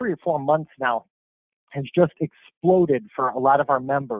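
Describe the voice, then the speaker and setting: A man with a plain, everyday voice speaks at a fairly slow pace, pitched fairly high with ordinary pitch variation. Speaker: marketing presenter. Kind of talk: webinar presentation.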